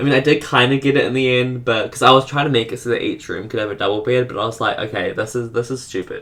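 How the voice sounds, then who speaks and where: A man's medium-pitched voice at a very fast pace, fairly even in intonation with hardly any pauses, over noticeable background noise. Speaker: gaming video creator. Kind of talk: voice-over commentary on speed build. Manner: halting, stuttering.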